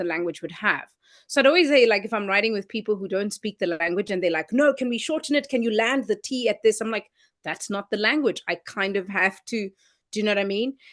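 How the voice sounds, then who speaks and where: With a South African accent, a woman talks at a fairly quick pace with lively intonation and a fairly high pitch, her voice dry and close with no echo against a quiet background. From South Africa, Transkei (Eastern Cape). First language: Xhosa. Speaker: singer-songwriter. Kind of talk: interview.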